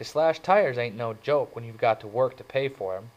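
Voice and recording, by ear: With lively intonation, a speaker is reading aloud in a natural voice.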